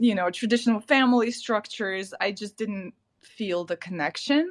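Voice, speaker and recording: On a very clean recording with a silent background, a woman with a Ukrainian accent speaks at a fairly slow pace, with a fairly high pitch and lively intonation. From Ukraine. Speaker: artist. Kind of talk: casual podcast interview.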